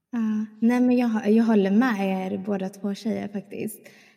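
A woman's medium-pitched voice with a dark, mellow tone, at a fairly slow pace. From small town in Sweden. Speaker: podcast co-host. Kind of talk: casual chat.

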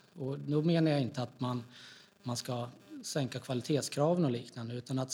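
A man's somewhat breathy, dark, mellow voice sits at a medium pitch. He moves at a moderate pace with fairly even intonation. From Gävle, Sweden. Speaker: politician. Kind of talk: interview.

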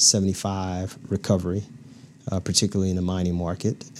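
A man talks at a very fast pace and a fairly low pitch. His intonation is monotone and flat. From US South, Louisiana small town. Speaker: corporate manager. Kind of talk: interview. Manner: halting, many fillers.

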